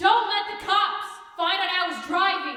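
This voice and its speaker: A put-on character voice at an extremely high pitch speaks at a moderate pace through strong echo. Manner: panicked, urgent.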